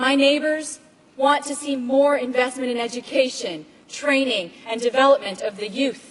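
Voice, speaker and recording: A woman with a high pitch talks over noticeable background noise. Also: ordinary pitch variation, moderate pace. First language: Tamil. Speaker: politician. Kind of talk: parliamentary speech. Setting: legislative chamber. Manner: formal.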